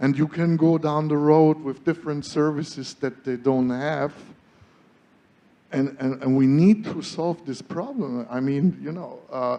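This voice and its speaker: Fairly slow speech from a man with a German accent, fairly high in pitch and dark and mellow in tone. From Germany. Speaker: solar energy entrepreneur. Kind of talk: panel discussion. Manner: animated.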